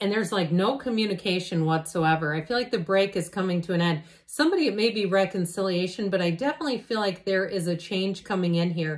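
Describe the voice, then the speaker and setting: Against a quiet background, a woman talks at a very fast pace with very even loudness and hardly any pauses. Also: ordinary pitch variation. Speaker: tarot reader. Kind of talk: tarot reading commentary. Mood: warm, reassuring. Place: home room. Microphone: phone near.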